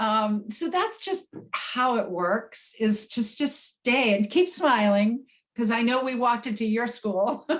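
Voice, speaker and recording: Speaking at a very slow pace with hardly any pauses, a woman uses a fairly high pitch and lively intonation. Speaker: manifestation coach. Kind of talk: workshop talk.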